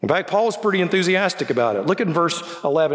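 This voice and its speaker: Speaking very fast with lively intonation in a Southern US accent, a man is heard over noticeable background noise. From Birmingham, Alabama, US South. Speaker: guest preacher and university professor. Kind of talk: sermon. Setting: church with congregation. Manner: informal, humorous.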